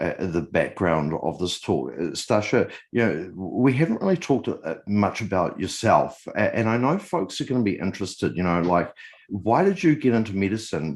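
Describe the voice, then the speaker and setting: With a New Zealand accent and a fairly low pitch, a man swings very widely in pitch and hardly pauses, all against a quiet background. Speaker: podcast host. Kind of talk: interview.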